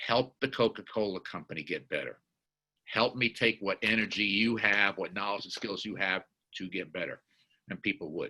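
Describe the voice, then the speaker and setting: Ordinary pitch variation beneath a bright, sharp tone. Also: man. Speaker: corporate diversity executive and advisor. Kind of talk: webinar presentation. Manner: fast.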